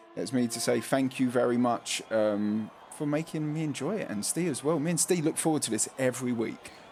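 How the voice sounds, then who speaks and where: Background music can be heard. Over it, a man talks at a fairly quick clip. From London (cockney). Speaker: sim racing league commentator. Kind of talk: live commentary. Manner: casual, lazy pronunciation; animated.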